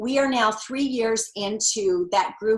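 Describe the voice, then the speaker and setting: A woman with a plain, everyday voice and fairly even intonation. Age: 60s. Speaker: author and women's seminar leader. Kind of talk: interview.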